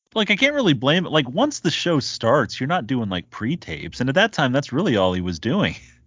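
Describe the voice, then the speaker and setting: Talking at a fairly quick pace with hardly any pauses, a man with a fairly high pitch and vocal fry swings his pitch very widely. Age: 30s. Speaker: wrestling podcast co-host. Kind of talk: casual chat.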